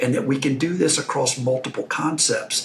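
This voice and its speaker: Noticeable background noise sits behind a man with a Texan accent. He speaks at medium pitch and a fairly quick pace. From Texas. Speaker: investor and franchise owner. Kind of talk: podcast interview.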